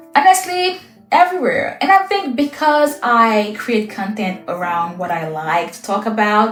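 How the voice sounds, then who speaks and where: Music plays in the background as a woman with a fairly high pitch speaks at a fairly slow pace, with very wide pitch swings, big swings in loudness and audible room echo. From Haiti. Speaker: lifestyle content creator. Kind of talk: get-to-know-me Q&A monologue.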